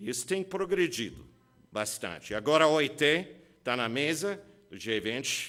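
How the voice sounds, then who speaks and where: At a moderate pace, a man with a fairly high pitch and a bright, sharp tone makes very wide pitch swings and takes long, frequent pauses. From USA. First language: English (speaking Portuguese). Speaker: labor lawyer, keynote speaker. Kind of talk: keynote lecture.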